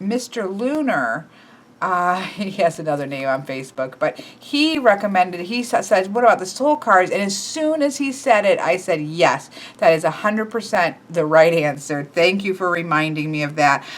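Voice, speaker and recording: A woman at medium pitch talks at a moderate pace with very wide pitch swings, over noticeable background noise. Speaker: tarot deck reviewer. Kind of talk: casual deck review video. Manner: casual with many fillers.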